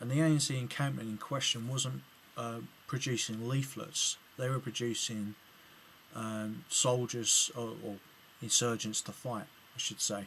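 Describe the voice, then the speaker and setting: Speaking at a fairly slow pace with long, frequent pauses, a man with an English accent keeps a medium pitch and fairly even intonation. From England. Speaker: political video blogger. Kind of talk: video reply commentary. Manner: halting, many fillers and restarts.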